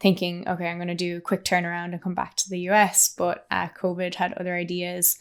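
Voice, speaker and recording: The speaker has an Irish accent. The intonation is monotone and flat. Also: woman, very clean recording, silent background. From Ireland. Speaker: PhD researcher. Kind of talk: casual interview chat.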